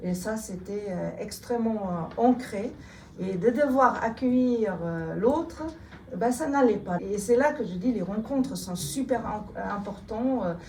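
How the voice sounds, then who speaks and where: Speaking very slowly with a slight German accent, a woman uses a fairly high pitch and ordinary pitch variation, with audible room echo and noticeable background noise. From Germany. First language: German (speaking French). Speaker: politician. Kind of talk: interview. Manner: hesitant, many fillers.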